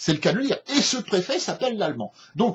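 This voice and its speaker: Here a man is talking. His tone is animated. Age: 60s. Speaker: political commentator. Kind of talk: opinion rant. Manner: halting, many repetitions and hesitations.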